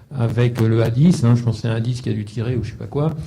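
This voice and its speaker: A man's very fast, somewhat breathy delivery, dark and mellow in tone, at medium pitch with fairly even intonation and audible room echo. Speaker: panelist at a defence round table. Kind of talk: round-table discussion.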